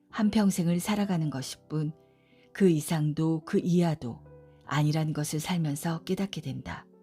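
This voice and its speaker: A woman's fairly low voice with ordinary pitch variation, at a fairly slow pace, music in the background. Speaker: audiobook narrator. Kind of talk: audiobook essay reading, sleep-friendly narration.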